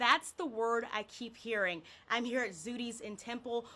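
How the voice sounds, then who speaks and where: A woman speaks in a raised, projected voice. Her pace is moderate. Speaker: TV news reporter. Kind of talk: TV news report. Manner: precise.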